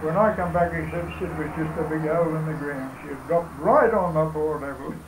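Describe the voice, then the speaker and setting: With a rural Australian accent, a man speaks at a fairly quick pace and fairly high pitch amid noticeable background noise. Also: fairly even intonation. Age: 80s+. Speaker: elderly local recalling his past. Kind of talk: oral history interview answer. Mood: reminiscing, conversational. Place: home room. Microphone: camera far.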